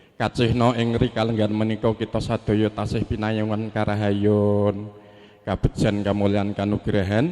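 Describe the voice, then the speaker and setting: In a Javanese accent, a man delivers fairly slow, monotone, flat speech in a dark, mellow tone at a fairly low pitch. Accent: regional Javanese. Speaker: family spokesman at wedding ceremony. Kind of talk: formal ceremonial speech. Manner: formal.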